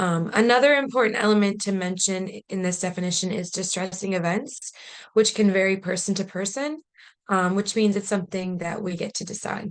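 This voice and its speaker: A woman with a plain, everyday voice at a medium pitch, fairly quick pace and ordinary pitch variation. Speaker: policy advocate presenting a training webinar. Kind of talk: webinar presentation. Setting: online video meeting.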